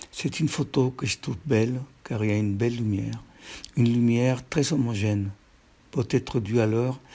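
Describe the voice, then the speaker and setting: A man with a medium pitch and a dark, mellow tone speaks somewhat breathily at a moderate pace, with ordinary pitch variation. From Peru. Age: 70s. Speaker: painter. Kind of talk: reading aloud.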